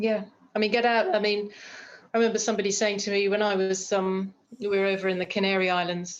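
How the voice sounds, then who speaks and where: A woman with a British accent talks very fast in a flat monotone. Her loudness stays very even. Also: medium pitch for a woman. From United Kingdom. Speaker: screenwriter and producer. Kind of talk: interview chat.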